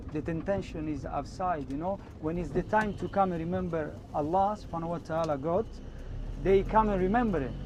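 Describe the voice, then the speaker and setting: With an Italian accent, the speaker goes at a fairly quick pace and ordinary pitch variation, amid noticeable background noise and audible room echo. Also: man. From Italy. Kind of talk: interview. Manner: halting.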